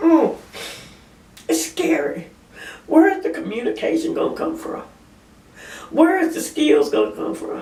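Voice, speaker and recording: A woman talks with long, frequent pauses and big swings in loudness, against noticeable background noise. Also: fairly slow pace. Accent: Southern US. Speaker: part-time store clerk. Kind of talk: casual talk to camera.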